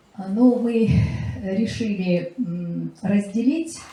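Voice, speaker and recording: A woman speaks very slowly with lively intonation. Noticeable background noise is present. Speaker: literary scholar and lecturer. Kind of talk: public presentation speech. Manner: halting with many filler sounds.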